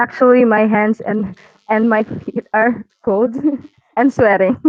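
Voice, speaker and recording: A woman with a non-native accent speaks at a fairly high pitch and a fairly slow pace. Her intonation stays fairly even. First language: not English. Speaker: community artist. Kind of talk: casual chat. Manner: halting.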